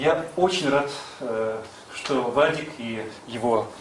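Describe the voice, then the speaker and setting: A man's voice with ordinary pitch variation, light background noise and audible room echo. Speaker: conference organizer and publisher. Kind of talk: speech introduction. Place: meeting room. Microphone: camera far.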